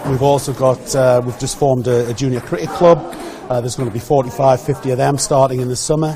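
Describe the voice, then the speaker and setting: A man speaks with a Geordie accent. Noticeable background noise runs under the recording. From north-east England (Geordie). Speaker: village hall volunteer. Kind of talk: radio interview. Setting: village hall.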